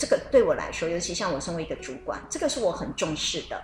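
A woman speaks over noticeable background noise. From Taiwan. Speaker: radio co-host. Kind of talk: radio talk show chat.

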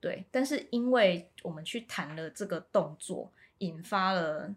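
A woman's somewhat breathy voice at a medium pitch, with ordinary pitch variation. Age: 30s. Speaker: local council candidate. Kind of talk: interview.

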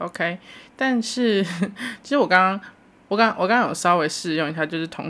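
Her intonation is lively as a woman speaks at a moderate pace. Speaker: solo podcast host. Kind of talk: casual solo monologue. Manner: animated. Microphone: new microphone.

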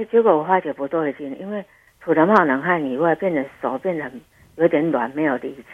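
Fairly quick speech from a woman with a very deep, low voice and ordinary pitch variation. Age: 60s. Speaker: listener and heart attack survivor. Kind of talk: phone interview, personal testimony.

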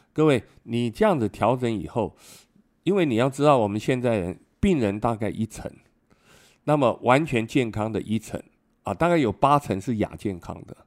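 Very cleanly recorded against a silent background, a man speaks at a moderate pace and a medium pitch. His intonation is lively, and he pauses long and often. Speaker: retired immunology professor and physician. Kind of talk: interview.

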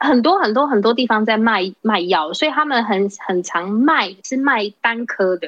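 In an ordinary speaking voice, the speaker moves at a fairly slow pace with lively intonation and hardly any pauses. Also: woman, fairly high pitch for a woman. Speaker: hotel worker. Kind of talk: casual chat.

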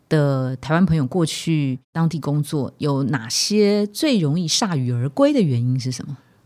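The delivery runs at a fairly slow pace with hardly any pauses. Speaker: podcast host. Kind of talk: casual interview. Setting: studio.

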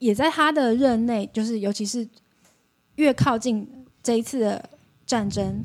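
A woman's fairly high pitch with ordinary pitch variation at a moderate pace. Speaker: podcast guest who lived in Russia. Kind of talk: casual chat.

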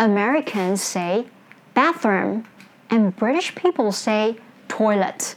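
Her intonation is lively as this woman talks. She goes at a very slow pace with long, frequent pauses. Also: fairly high pitch for a woman. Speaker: English teacher and podcast host. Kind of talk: educational talk.

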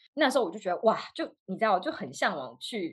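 A woman speaks with very wide pitch swings. She keeps a fairly quick pace. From Taiwan. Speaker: dietitian, graduate student. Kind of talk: casual chat. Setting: video call.

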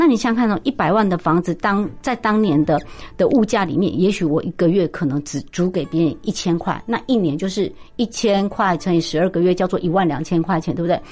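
A woman at a medium pitch and fairly quick pace, with lively intonation and a quiet background. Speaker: business professor and investment author. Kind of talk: interview. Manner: animated.

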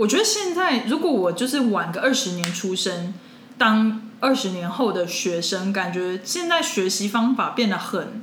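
A woman speaks in a fairly high voice with lively intonation. Noticeable background noise is present. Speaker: podcast co-host. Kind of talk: casual chat. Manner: animated.

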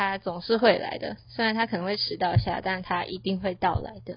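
A woman talks at a moderate pace with a medium pitch and ordinary pitch variation. Hers is an unremarkable speaking voice. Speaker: university student podcast co-host. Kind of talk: casual chat.

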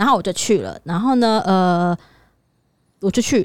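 Ordinary pitch variation runs through speech delivered very fast. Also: woman. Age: 30s. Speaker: podcast co-host. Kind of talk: casual chat.

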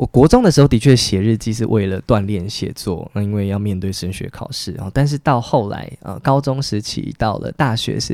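On a very clean recording with a silent background, a man with a dark, mellow tone speaks at a moderate pace. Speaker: writer. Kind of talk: interview conversation.

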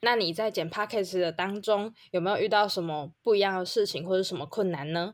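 A plain, everyday voice, a woman speaks at a medium pitch with ordinary pitch variation. She moves at a fairly quick pace with hardly any pauses. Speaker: podcast co-host. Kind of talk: casual chat.

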